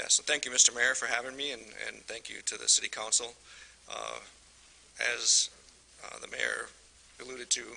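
Amid noticeable background noise, a man speaks with long, frequent pauses and big swings in loudness. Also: moderate pace. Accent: American. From Michigan. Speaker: utility superintendent. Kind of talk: presentation at council meeting.

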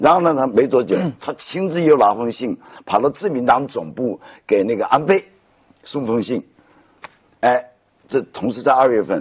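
Against a quiet background, a man speaks with long, frequent pauses. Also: moderate pace. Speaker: talk show guest. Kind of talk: animated conversational storytelling. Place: studio.

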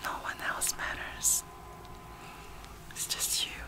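A soft-spoken woman whispering at a very slow pace over noticeable background noise. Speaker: relaxation video host. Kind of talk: soft soothing personal-attention talk. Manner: soft whispered comforting words. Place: home room.

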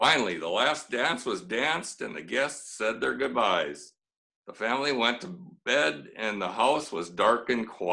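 With lively intonation, plain reading aloud comes through against a quiet background.

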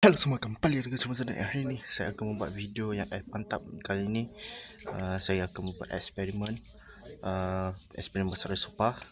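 Soft-spoken and fairly low-pitched, a man talks at a fairly quick pace with ordinary pitch variation. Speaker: YouTuber. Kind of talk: casual vlog. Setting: in a building, away from home. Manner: quiet, speaking softly.

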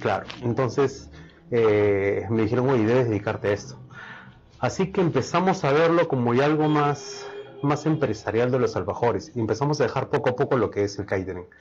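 Over faint background music, a man talks at a fairly quick pace with lively intonation and very even loudness. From Peru. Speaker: chef and food business owner; guest. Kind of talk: interview. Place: studio.

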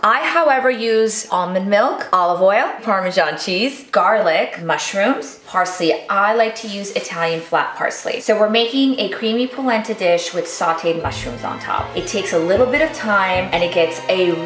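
Barely pausing, a woman speaks at a moderate pace amid audible room echo and light background noise. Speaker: cooking show host. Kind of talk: cooking tutorial. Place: kitchen.

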